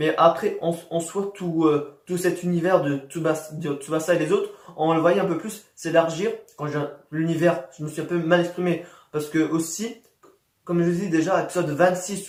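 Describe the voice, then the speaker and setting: The man's voice is high in pitch. His intonation is fairly even. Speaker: YouTuber anime reviewer. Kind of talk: casual video review monologue. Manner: fast; halting, many repetitions and fillers.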